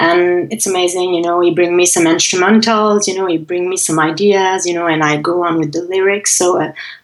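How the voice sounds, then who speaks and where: Medium in pitch, a woman speaks in a Quebec accent. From Quebec (Montreal). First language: French. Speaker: singer-songwriter. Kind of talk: interview.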